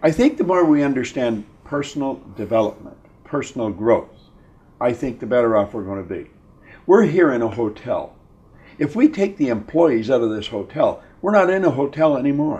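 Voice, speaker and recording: A man speaks in a dark, mellow tone. His loudness swings widely. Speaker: interviewee, motivational speaker. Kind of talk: interview answer. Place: home room.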